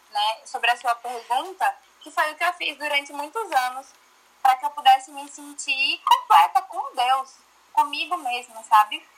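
Her voice raised and projected, a woman speaks at a moderate pace with a high pitch and lively intonation. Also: big swings in loudness. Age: 20s. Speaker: church youth leader. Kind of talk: casual chat.

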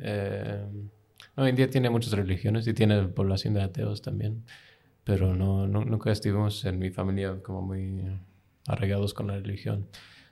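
In a very clean recording with a silent background, a man with a dark, mellow tone and fairly low pitch speaks at a moderate pace with fairly even intonation. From United States, with childhood in UK. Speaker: graduate student, former diplomat. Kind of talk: casual interview. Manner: halting.

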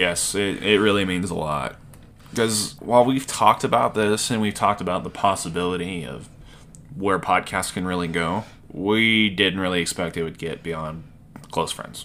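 A man's very deep, low voice, bright and sharp in tone, with a slight Southern US accent, ordinary pitch variation and a moderate pace. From US South. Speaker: podcast host. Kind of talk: casual chat, storytelling.

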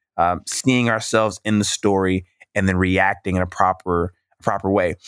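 A man with a plain, everyday voice and an American accent speaks at a fairly slow pace with fairly even intonation, in a dry, close recording with no echo, very clean against a silent background. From US South, Mississippi. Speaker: minister and poet. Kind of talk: interview conversation.

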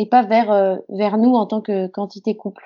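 Speaking at a moderate pace, a woman holds a monotone, flat intonation in a fairly high pitch. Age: 20s. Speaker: actress. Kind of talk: interview.

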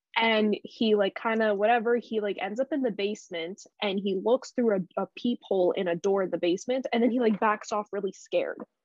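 In a Canadian accent, a woman speaks at a fairly high pitch with ordinary pitch variation. Her pace is fairly quick, with hardly any pauses. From Canada. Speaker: podcast co-host. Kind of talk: casual chat. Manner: animated.

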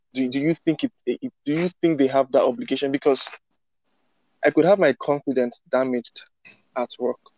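The pace is moderate, broken by long, frequent pauses, with ordinary pitch variation. The sound is dry and close, with no echo. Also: man, fairly high pitch for a man. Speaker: co-host. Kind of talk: interview questions.

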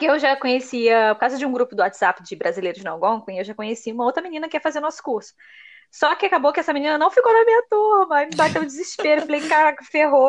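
A woman speaks in a high pitch at a very fast pace. Her pitch swings very widely. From Brazil. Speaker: podcast host, immigrant college student. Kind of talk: casual chat.

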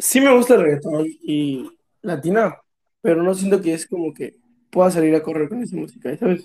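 A man speaks with a Mexican accent at a high pitch, his tone dark and mellow. His intonation is lively, and he keeps a moderate pace. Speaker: podcast co-host. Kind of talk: casual chat. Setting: same room as co-host.

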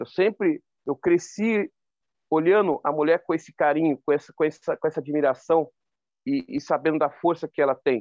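A man's fairly high voice, a plain, everyday voice, at a moderate pace with ordinary pitch variation and a dry, close sound with no echo. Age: 40s. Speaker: ultramarathon runner. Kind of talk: interview.

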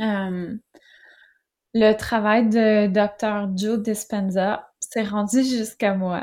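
With a Quebec accent, a woman speaks at a very slow pace, her intonation fairly even. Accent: Québécois French. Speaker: author and entrepreneur. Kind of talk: interview.

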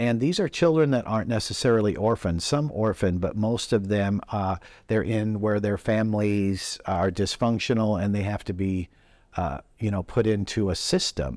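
A man's fairly low pitch in a normal speaking voice, at a moderate pace with ordinary pitch variation, in a very clean recording with a silent background. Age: 60s. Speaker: rabbi and ministry leader. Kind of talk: interview. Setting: hotel lobby with background noise.

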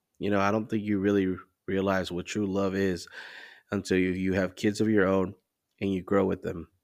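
A man's fairly even intonation, broken by long, frequent pauses. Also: very clean recording, silent background. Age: 30s. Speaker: podcast host. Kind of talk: solo monologue. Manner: casual, conversational.

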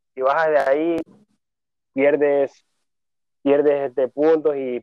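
This is a man talking. His voice sits fairly high. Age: 30s. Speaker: bodybuilder and personal trainer. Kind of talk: interview. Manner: halting.

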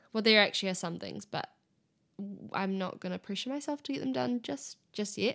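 Against background music, a woman talks at a fairly quick pace in a medium-pitched voice with very wide pitch swings. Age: 20s. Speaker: solo podcast host. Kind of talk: casual solo chat. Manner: animated.

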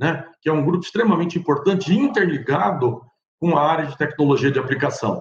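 A man with a fairly high voice uses an ordinary speaking voice at a fairly quick pace, with ordinary pitch variation. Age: 60s. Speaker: agronomist and company director. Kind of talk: recorded seminar talk.

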